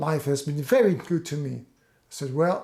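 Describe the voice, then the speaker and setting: His tone is dark and mellow, and this man speaks at a fairly slow pace. He has a Dutch accent. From Netherlands. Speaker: fan channel host. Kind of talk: personal storytelling. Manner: halting.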